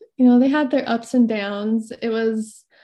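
Speaking with an American accent, a woman has a fairly high pitch and a dark, mellow tone. Her intonation is fairly even, and the background is quiet. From Idaho. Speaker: mother sharing birth stories. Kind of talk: interview testimony.

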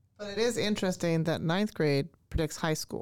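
An unremarkable speaking voice from a woman, fairly low in pitch with ordinary variation, with a Canadian accent, on a very clean recording with a silent background. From Canada. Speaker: language arts teacher. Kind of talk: casual interview chat. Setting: studio.

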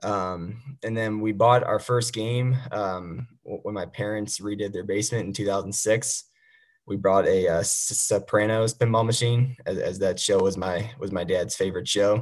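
This man has an unremarkable speaking voice and an American accent, pitched fairly low. He speaks at a moderate pace with fairly even intonation. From Missouri, St. Louis. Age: 20s. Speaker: competitive pinball player. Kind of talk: casual interview.

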